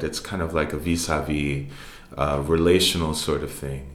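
Audible room echo hangs around a man who speaks at a moderate speed. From New York City (Harlem and the Bronx). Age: 30s. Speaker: jazz musician and professor. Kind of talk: interview. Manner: halting.

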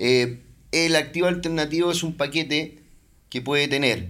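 A man with a bright, sharp tone speaks at a moderate pace and ordinary pitch variation. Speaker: investment banker. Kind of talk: casual interview.

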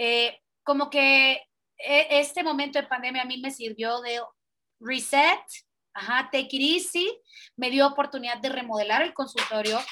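A bright, sharp tone in a raised, projected voice with fairly even intonation. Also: woman. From Central America (Guatemala, El Salvador, Honduras). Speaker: pediatric dentist. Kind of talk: casual interview.

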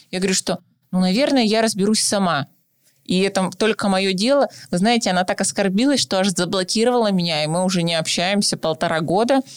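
Over a silent background on a very clean recording, a woman with an unremarkable speaking voice talks at a fairly quick pace and medium pitch, with ordinary pitch variation, very even loudness, and a dry, close sound with no echo. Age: 20s. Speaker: psychologist, podcast co-host. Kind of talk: casual chat.

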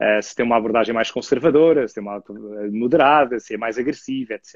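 A man at a very fast pace, medium pitch with ordinary variation, in a dry, close sound with no echo. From Portugal, Lisbon. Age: 30s. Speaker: author and podcaster on cryptocurrency. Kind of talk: casual chat.

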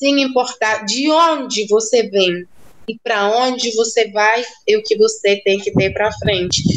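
Against noticeable background noise, a woman speaks very slowly in a fairly high pitch with ordinary pitch variation. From central rural Cuba. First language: Spanish (speaking Portuguese). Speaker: doctor. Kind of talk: interview.

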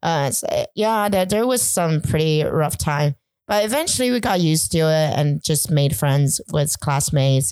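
Over a silent background in a very clean recording, a woman with a very deep, low pitch talks at a moderate pace with lively intonation and very even loudness. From China (village, then suburb of a city). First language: Chinese. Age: 30s. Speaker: podcast guest. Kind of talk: casual interview chat. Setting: night recording.

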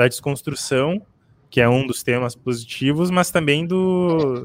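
Very slow in pace, a man talks with ordinary pitch variation. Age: 20s. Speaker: podcast co-host. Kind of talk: casual chat.

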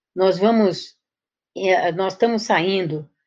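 Over a quiet background, a woman with an ordinary speaking voice talks at a medium pitch with ordinary pitch variation. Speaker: education professor. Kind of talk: interview.

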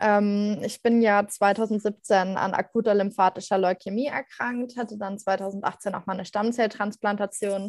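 The speech comes at a fairly slow pace in a monotone, flat intonation with hardly any pauses, recorded with a dry, close sound and no echo. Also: woman, medium pitch for a woman. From Germany, Mainz area. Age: 20s. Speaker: cancer survivor and blogger. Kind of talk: interview.

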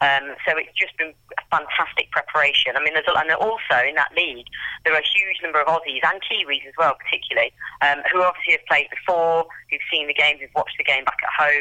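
Speaking very fast with an English accent, a woman uses fairly even intonation and a very deep, low pitch. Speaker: amateur football team captain. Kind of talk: interview.

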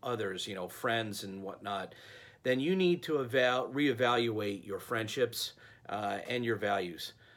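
A man with a plain, everyday voice, medium pitch, and lively intonation. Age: 40s. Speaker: leadership coach / vlogger. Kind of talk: monologue advice talk. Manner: casual, many fillers.

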